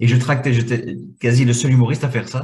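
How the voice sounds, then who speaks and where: A man with a Belgian accent speaks in a somewhat breathy voice. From Belgium, Brussels. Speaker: comedian. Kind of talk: interview.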